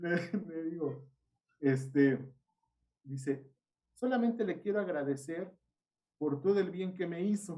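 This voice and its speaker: Speaking in a Mexican accent, a man has a high pitch with ordinary pitch variation and a dark, mellow tone. He talks fairly slowly, with long, frequent pauses. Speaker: seminary teacher. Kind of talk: casual chat. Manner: animated.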